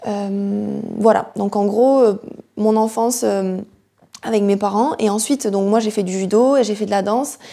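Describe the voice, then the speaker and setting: A woman's dark, mellow voice at a medium pitch, fairly slow in pace, with fairly even intonation. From southwest France, near Toulouse. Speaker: yoga teacher and fitness coach. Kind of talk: personal testimony monologue. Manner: halting, searching for words.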